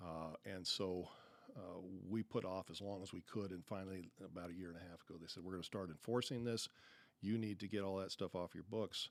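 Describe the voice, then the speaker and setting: A man with a very deep, low pitch talks in an American accent. His intonation is fairly even and his pace fairly quick. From Arizona. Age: 60s. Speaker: business owner, CEO. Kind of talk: podcast interview. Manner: hesitant, many fillers.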